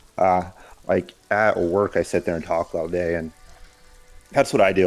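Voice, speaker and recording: Over music in the background, a man with a very deep, low pitch speaks at a moderate pace with fairly even intonation and long, frequent pauses. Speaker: game stream co-player. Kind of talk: casual chat.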